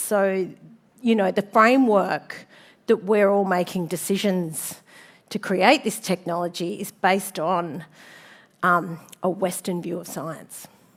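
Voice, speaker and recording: The recording is very clean, with a silent background. A woman with an Australian accent and a medium pitch speaks at a very slow pace. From Sydney, Australia. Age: 50s. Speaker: designer and speaker. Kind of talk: conference talk. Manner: casual, with many fillers.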